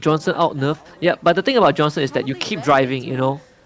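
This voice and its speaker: A man with a Mandarin accent, fairly high-pitched, with lively intonation and noticeable background noise. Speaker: esports watch-party streamer. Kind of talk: casual chat. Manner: animated.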